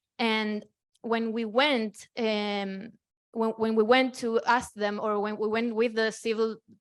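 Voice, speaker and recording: A woman with a Spanish accent speaks at a very slow pace, fairly high in pitch, with monotone, flat intonation. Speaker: activist. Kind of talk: panel discussion. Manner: halting.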